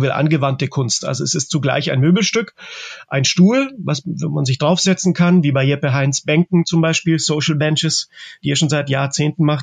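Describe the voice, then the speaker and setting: A man speaks with a fairly high pitch and a somewhat breathy quality, recorded dry and close with no echo. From Germany (Czech-born, raised in Germany since the 80s). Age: 40s. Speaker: artist. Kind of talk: interview. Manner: halting, many filler sounds.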